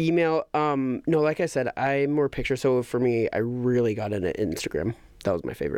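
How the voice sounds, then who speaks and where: With a normal speaking voice at medium pitch, a man talks fairly quickly with lively intonation against a quiet background. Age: 30s. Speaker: podcast host. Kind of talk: casual chat.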